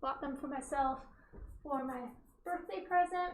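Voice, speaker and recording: A woman speaks loudly, and the room echo is audible. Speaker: artist teaching oil painting. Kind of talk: painting tutorial. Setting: home studio, wearing headphones with music. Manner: casual, chatty.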